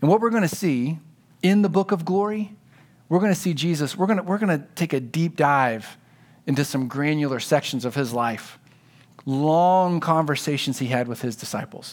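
At a moderate pace, a man with an ordinary speaking voice talks with a fairly high pitch and lively intonation. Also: very clean recording, silent background. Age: 40s. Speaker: pastor. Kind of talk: sermon.

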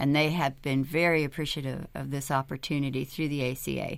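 Her voice very deep and low with vocal fry, a woman speaks at a fairly quick pace with fairly even intonation over a very clean recording and silent background. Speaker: health insurance navigator. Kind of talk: radio interview.

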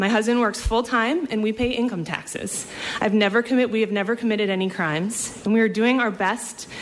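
Over noticeable background noise, a woman speaks at a fairly quick pace with very even loudness. Her pitch is fairly high and her intonation fairly even. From Maine. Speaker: community advocate. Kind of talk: reading aloud. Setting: legislative hearing room.

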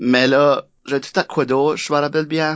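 A man is speaking. He talks at a fairly slow pace. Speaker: improviser and coach. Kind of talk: casual interview. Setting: studio. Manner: code-switching with English.

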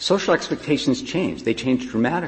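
A man talks at a moderate speed while noticeable background noise plays around him. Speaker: lawyer arguing before a court. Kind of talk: oral argument. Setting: courtroom.

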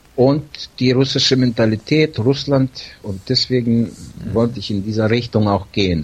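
Moderate pace from a man. His pitch is medium, with ordinary variation. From Siberia, Russia (German settlement near Novosibirsk). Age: 50s. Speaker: salesman. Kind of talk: casual chat. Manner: hesitant, many fillers.

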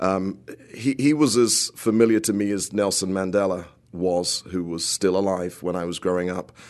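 Someone with a British accent speaks at a moderate pace with ordinary pitch variation. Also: man, very deep, low pitch for a man. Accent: British accent, noticeable. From United Kingdom. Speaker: composer. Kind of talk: radio interview. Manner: halting, many repetitions and fillers.

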